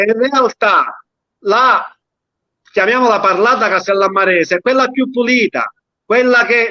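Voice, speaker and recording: In a raised, projected voice with a bright, sharp tone, a man talks at an extremely high pitch and moderate pace with ordinary pitch variation, the sound dry and close with no echo. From Sicily, Castellammare del Golfo. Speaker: dialect poet. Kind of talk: casual chat.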